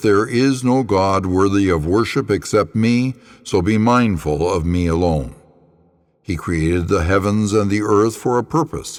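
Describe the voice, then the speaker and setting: An unremarkable speaking voice moves at a fairly slow pace with lively intonation. The loudness stays very even. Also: man. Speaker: pastor. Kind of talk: scripture reading.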